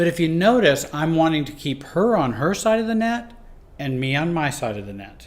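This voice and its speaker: With audible room echo, a man speaks at a moderate pace and fairly high pitch, his pitch swinging very widely and his loudness rising and falling sharply. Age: 60s. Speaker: life and relationship coach. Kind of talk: teaching talk. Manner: conversational, with fillers and restarts.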